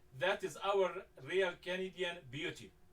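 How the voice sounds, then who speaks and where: With a strong non-native accent, a man speaks at a fairly slow pace in a high voice. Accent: heavy foreign. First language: Arabic. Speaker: talk show host. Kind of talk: moderated discussion. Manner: halting, many fillers.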